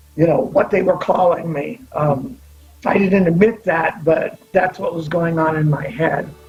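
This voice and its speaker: A man with a high pitch and ordinary pitch variation speaks at a fairly slow pace over noticeable background noise. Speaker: LGBTQ pioneer storyteller. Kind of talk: testimony. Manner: halting.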